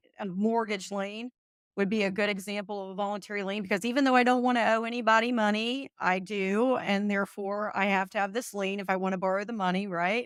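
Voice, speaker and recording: A woman with a Kentucky accent talks at a fairly quick pace in a medium pitch with ordinary pitch variation. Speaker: real estate exam tutor. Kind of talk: live study session. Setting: live webinar.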